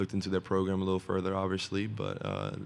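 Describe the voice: In a low voice with vocal fry, a man speaks fast with monotone, flat intonation.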